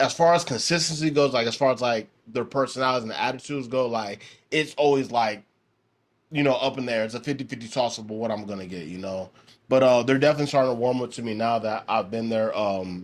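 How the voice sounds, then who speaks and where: A man rushes along at a very fast pace, his pitch varying in an ordinary way. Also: medium pitch for a man. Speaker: podcast host and driver. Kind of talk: casual podcast monologue. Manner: relaxed, filler-heavy.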